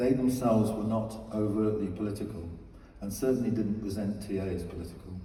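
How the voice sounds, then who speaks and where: Over noticeable background noise and audible room echo, a man with a fairly low pitch speaks at a fairly quick pace with fairly even intonation. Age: 70s. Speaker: psychotherapist. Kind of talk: award acceptance speech. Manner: formal.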